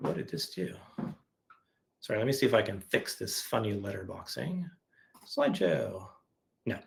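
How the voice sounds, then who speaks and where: A man's voice with very wide pitch swings. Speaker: software verification engineer presenting webinar. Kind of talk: webinar presentation with live coding. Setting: online webinar. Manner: fast.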